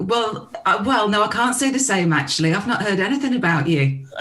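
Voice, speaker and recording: A woman talks fairly quickly at a medium pitch with very wide pitch swings and very even loudness, over noticeable background noise. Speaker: voice-over artist and radio news reporter. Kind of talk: casual podcast conversation.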